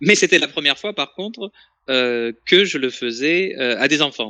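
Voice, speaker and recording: Here a man talks at a moderate pace and medium pitch, with very wide pitch swings. The sound is dry and close, with no echo. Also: quiet background. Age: 30s. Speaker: author and French teacher. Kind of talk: interview.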